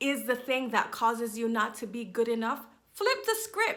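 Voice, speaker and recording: A woman's raised, projected voice, bright and sharp in tone, moves at a moderate pace through very wide pitch swings. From Jamaica. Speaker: business and confidence coach. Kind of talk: motivational talk to camera.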